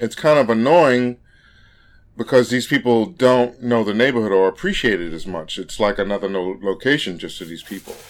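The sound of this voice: At a moderate pace, a man talks with a fairly low pitch and ordinary pitch variation.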